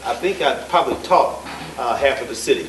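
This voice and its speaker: This man talks at a moderate pace while the room echo is audible and background noise is noticeable. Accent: American. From Dayton, Ohio. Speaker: political candidate. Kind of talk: campaign speech. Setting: candidates forum with audience. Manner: halting.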